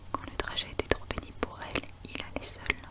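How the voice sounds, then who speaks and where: Whispering at a moderate pace in a calm tone, the voice comes through over noticeable background noise. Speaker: ASMR reader. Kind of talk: whispered book reading for sleep (ASMR). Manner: whispered, soft, calm.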